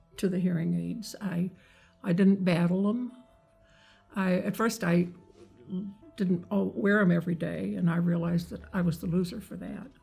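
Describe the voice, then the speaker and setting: Music plays in the background. The voice moves at a fairly slow pace with fairly even intonation. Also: woman. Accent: American. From Kentucky. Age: 80s+. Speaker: hearing aid patient. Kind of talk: interview answer.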